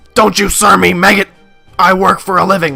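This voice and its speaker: A man uses a put-on character voice, raised and projected at a high pitch. He talks at a fairly quick pace while faint music plays in the background. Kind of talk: military, insulting. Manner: shouting, barking.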